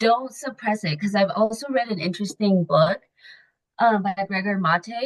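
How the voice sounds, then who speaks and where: Somewhat breathy, a woman with an American accent talks at a medium pitch and a moderate pace with ordinary pitch variation. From Mexico City, raised in the US from age 6-7. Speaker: women empowerment coach. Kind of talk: podcast interview. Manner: casual, filler-heavy speech.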